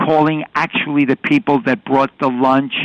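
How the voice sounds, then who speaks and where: A man with a New York accent talks at a fairly high pitch with ordinary pitch variation, in a dry, close sound with no echo. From New York City. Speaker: retired police detective and film technical advisor. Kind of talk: interview. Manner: halting, with frequent fillers.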